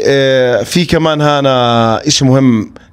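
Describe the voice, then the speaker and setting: A man is speaking. His tone is animated. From Jordan. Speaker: travel vlogger. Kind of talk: casual street interview.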